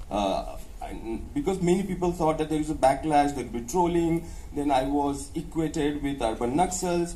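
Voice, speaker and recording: With a Maharashtrian accent, a man speaks at a moderate pace with fairly high pitch and ordinary pitch variation amid audible room echo. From India, North Maharashtra village near Dhule. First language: Ahirani. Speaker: professor and author. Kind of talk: interview. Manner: hesitant, frequent uh fillers and restarts; code-switching English and Hindi.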